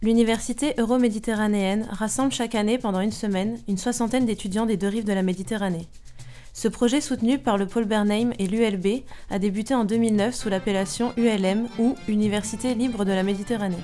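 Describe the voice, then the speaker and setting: A woman's fairly high, fairly quick voice with fairly even intonation, music playing in the background. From France, Paris. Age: 20s. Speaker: graduate student. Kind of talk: scripted narration.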